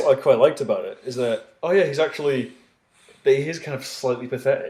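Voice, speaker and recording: The man's delivery comes at a very fast pace, with big swings in loudness. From Scotland. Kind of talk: casual podcast conversation.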